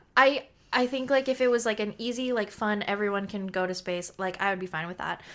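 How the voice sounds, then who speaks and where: A woman's plain, everyday voice at a fairly high pitch, fairly quick pace and ordinary pitch variation, in a very clean recording with a silent background. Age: 20s. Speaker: podcast co-host and student. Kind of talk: casual chat.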